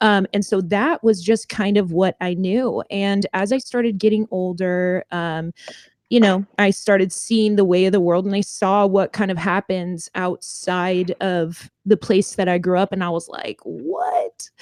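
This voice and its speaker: A woman talks at a fairly slow pace with hardly any pauses, using a medium pitch and fairly even intonation. The sound is dry and close with no echo, over a quiet background. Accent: Californian. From Southern California (Orange County). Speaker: singer in a band. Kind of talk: interview. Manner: hesitant, many fillers.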